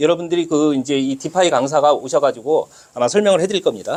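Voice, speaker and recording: Moving at a fairly quick pace, a man with a high pitch makes very wide pitch swings. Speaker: lecturer. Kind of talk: lecture. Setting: classroom with audience. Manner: loud. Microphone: no microphone, unamplified voice.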